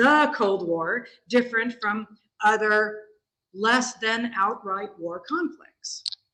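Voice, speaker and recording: At a very slow pace, a woman speaks in a fairly high, bright and sharp voice. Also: ordinary pitch variation. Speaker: history professor. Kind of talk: lecture.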